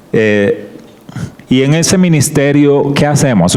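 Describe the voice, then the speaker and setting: The voice moves at a very slow pace with ordinary pitch variation. Audible room echo and noticeable background noise fill the recording. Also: man. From Colombian Caribbean coast, Barranquilla. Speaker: guest preacher, creation science ministry worker. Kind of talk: sermon / Bible study talk.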